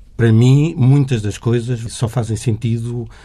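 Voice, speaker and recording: This man's voice has a dark, mellow tone, somewhat breathy, with fairly even intonation. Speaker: journalist. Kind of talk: interview conversation.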